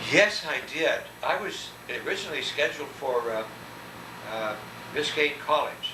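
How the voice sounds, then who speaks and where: With an American accent, a man talks with long, frequent pauses amid audible room echo and noticeable background noise. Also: moderate pace. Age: 70s. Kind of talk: oral history interview. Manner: halting.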